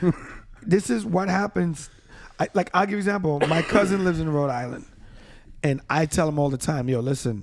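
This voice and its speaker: Fairly quick delivery in a New York accent, broken by long, frequent pauses. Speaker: podcast co-host. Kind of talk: casual chat. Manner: fast.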